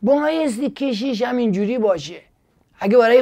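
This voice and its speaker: A man is speaking. The background is quiet. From Iran, Gilan; Iran. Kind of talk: casual monologue with preaching. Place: studio. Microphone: lapel.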